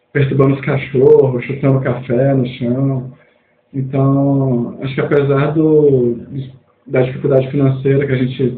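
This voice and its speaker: A man at a fairly slow pace, monotone and flat in intonation, with audible room echo. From Minas Gerais, Mucuri Valley, rural. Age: 20s. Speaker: student, researcher and cultural producer. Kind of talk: podcast interview.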